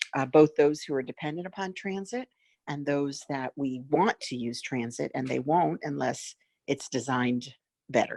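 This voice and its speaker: Ordinary pitch variation in a dry, close sound with no echo. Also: woman. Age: 60s. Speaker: elected county commissioner. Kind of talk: public meeting remarks.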